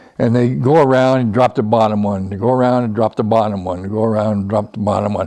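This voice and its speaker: Talking at a very fast pace with hardly any pauses, a man has an American accent and fairly even intonation. His pitch is fairly low, with a dark, mellow tone. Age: 80s+. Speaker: retired aerospace design engineer. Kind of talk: interview. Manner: halting.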